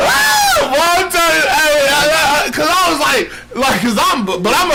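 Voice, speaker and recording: Amid noticeable background noise and audible room echo, the speaker uses a raised, projected voice at a fairly slow pace. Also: man. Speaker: podcast co-host. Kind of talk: casual chat. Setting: live stream. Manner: animated.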